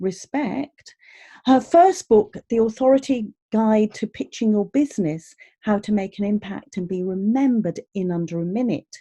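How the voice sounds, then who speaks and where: With a dark, mellow tone and a fairly high pitch, a woman speaks at a moderate pace with lively intonation and a somewhat breathy quality, captured in a dry, close sound with no echo. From Birmingham, English Midlands. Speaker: podcast host, vocal coach. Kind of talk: podcast interview. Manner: animated.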